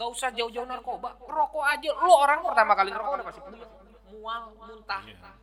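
A man with a Sundanese accent, extremely high pitch, lively intonation, a fairly quick pace and big swings in loudness. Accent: Sundanese-accented Indonesian. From West Java, Indonesia. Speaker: former drug user. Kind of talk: casual chat.

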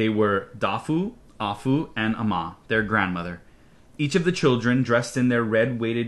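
Natural-voiced reading aloud, pitch varying in an ordinary way.

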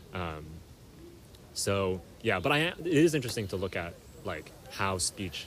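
The man's voice sits very deep and low in pitch. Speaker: podcast host. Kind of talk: casual chat. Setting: outdoors.

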